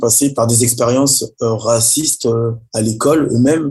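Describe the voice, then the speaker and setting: Background music can be heard. Over it, a man speaks at a moderate pace. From Paris region, France. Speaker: rapper and artist. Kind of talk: interview. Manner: halting.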